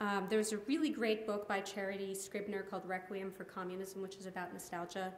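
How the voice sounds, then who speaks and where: Over noticeable background noise and audible room echo, a woman at medium pitch talks at a very fast pace with fairly even intonation and hardly any pauses. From grew up abroad and in the US, diplomat family. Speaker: poet and professor. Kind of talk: audience Q&A. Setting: lounge with live audience. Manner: halting, many fillers.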